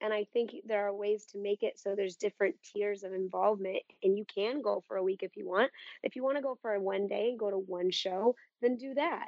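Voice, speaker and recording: A woman at medium pitch with ordinary pitch variation and a fairly quick pace. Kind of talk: casual chat.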